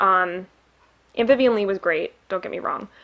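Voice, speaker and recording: With a Midwestern accent, a woman talks at a fairly quick pace. Her medium pitch carries lively intonation. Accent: Midwest. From Michigan, US Midwest. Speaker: booktuber. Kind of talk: casual book review vlog. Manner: chatty, many fillers.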